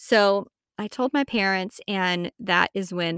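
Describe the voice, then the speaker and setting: Recorded very cleanly against a silent background, dry and close with no echo, a woman speaks at a medium pitch with an American accent. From Texas, Amarillo. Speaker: podcast host and herbalist. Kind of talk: personal story monologue.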